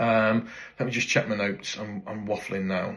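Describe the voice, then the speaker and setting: A man with a British accent speaks at a fairly low pitch with fairly even intonation. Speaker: motorcycle tyre supplier. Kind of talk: casual talk to camera. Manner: hesitant, many fillers; rambling, informal.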